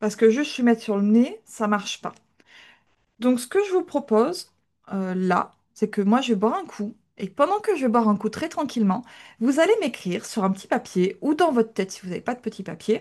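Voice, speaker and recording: A woman speaks at a fairly quick pace, her pitch fairly high with very wide swings. The background is quiet. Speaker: dog trainer. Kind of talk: live online class.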